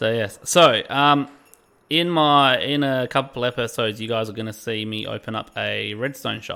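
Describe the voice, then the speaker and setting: Male speech at medium pitch with an Australian accent. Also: ordinary pitch variation, moderate pace. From England. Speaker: gaming livestreamer. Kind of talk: casual livestream chat. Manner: animated.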